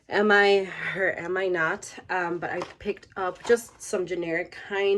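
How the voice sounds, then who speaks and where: A woman's fairly even intonation comes through amid noticeable background noise. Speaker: lifestyle vlogger. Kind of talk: personal vlog. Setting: at home.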